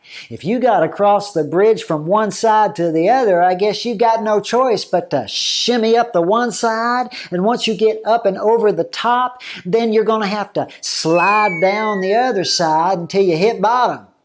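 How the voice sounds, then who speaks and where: Drawling at a moderate pace with hardly any pauses, the speaker performs a put-on character voice. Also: man, high pitch for a man. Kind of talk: comic overacting. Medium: solo performance. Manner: folksy, rambling, drawling, laughing.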